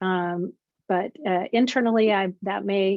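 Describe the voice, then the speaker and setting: This is a woman speaking at a medium pitch. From Canada. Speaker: professor. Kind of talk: webinar presentation. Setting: video call. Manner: halting, many fillers.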